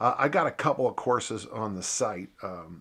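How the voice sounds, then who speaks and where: With ordinary pitch variation, a man's voice sits fairly low. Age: 60s. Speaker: strength coach. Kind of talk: Q&A answering listener questions. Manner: halting, many fillers and repeats; casual, conversational.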